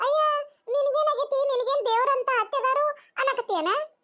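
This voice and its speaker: A woman does a squeaky, cartoonish character voice at an extremely high pitch. She keeps a moderate pace with ordinary pitch variation. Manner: chatty, persuasive.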